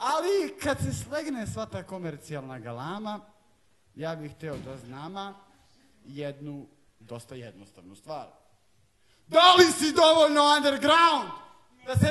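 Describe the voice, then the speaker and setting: Raising and projecting his voice, a man speaks with high pitch, very wide pitch swings, and big swings in loudness. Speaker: slam poet. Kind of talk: live poetry slam performance.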